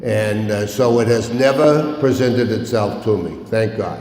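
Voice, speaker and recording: The recording has audible room echo. Noticeable background noise is also present. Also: man. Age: 70s. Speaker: recovery meeting speaker. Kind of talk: recovery talk. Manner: animated.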